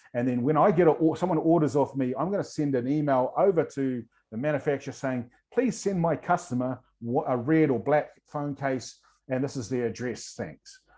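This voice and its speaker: A man with a New Zealand accent has a fairly high pitch and a dark, mellow tone. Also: ordinary pitch variation. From New Zealand, rural east coast of North Island. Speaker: entrepreneur and workshop presenter. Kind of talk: online workshop presentation. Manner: fast.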